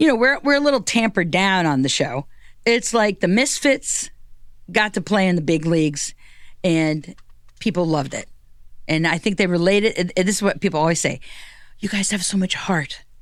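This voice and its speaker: In an animated tone, a woman speaks at a fairly quick pace and a medium pitch, with lively intonation. She leaves long, frequent pauses. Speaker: comedian and drag king entertainer. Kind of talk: casual chat. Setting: studio. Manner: loud.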